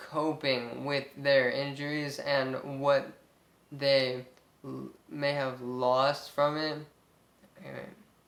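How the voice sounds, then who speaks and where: A man's fairly high voice in an American accent, monotone and flat, very slow with long, frequent pauses and big swings in loudness, plus noticeable background noise and audible room echo. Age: 20s. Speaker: brain injury survivor vlogger. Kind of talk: personal testimony. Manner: halting, many fillers.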